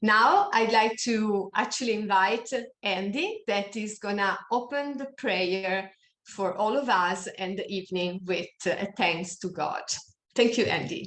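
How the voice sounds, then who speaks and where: A non-native accent at a fairly slow pace, with ordinary pitch variation. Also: woman, medium pitch for a woman. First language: not English. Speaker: online meeting moderator. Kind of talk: meeting announcements. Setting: Zoom video call. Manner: halting.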